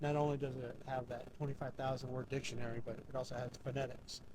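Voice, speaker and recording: A man's somewhat breathy, monotone voice with flat intonation at a moderate pace. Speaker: paranormal investigator. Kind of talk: live ghost hunt narration. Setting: outdoors at a cemetery at night. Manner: halting, many fillers; slightly slurred.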